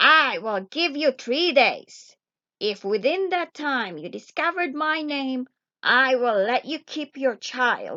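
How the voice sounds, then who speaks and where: A woman's put-on character voice, high-pitched, at a fairly slow pace. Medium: read story. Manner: sly, insistent.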